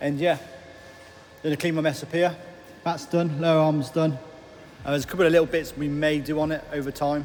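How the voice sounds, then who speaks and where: A man with an English accent talks at a fairly quick pace in a fairly high pitch, with noticeable background noise behind him. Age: 30s. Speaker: self-improvement vlogger. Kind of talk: casual vlog. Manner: halting.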